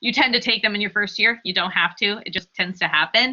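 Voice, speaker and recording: Speaking at a fairly quick pace, a woman with an American accent keeps a medium pitch and fairly even intonation. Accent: passes as Canadian. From US Midwest, Columbus, Ohio. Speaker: graduate student. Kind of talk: panel Q&A talk.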